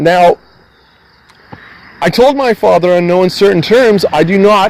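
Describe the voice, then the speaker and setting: At a fairly slow pace, a man with a high pitch and ordinary pitch variation speaks over noticeable background noise. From Canada. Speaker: van dweller vlogger. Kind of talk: heated conversation. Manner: agitated, swearing-heavy.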